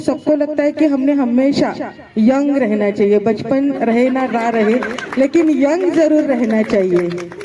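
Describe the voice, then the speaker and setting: Noticeable background noise surrounds a woman speaking. She has a high voice and a non-native accent. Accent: non-native Hindi. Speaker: gynecologist giving motivational speech. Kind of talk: motivational speech.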